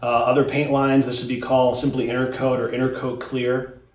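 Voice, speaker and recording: There is audible echo in the room. Through it, a man talks. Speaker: paint company president. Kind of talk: interview Q&A about products. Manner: informative, technical. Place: shop.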